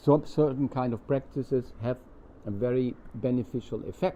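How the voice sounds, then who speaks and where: A man with a German accent speaks at a fairly slow pace, his medium-pitched voice carrying a dark, mellow tone. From Germany. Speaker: spiritual teacher. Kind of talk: satsang talk with consecutive interpretation. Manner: halting.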